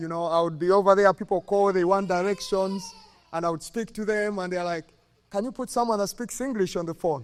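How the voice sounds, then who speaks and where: A man speaks with a Ugandan accent at a fairly quick pace. His pitch is high, with ordinary variation. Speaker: former college soccer player, hall of fame inductee. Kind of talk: acceptance speech. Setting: stage with audience at induction ceremony.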